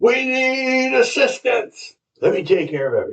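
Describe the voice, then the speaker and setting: A man performs in a put-on character voice. His pitch is extremely high. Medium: read story. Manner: smooth, falsely earnest.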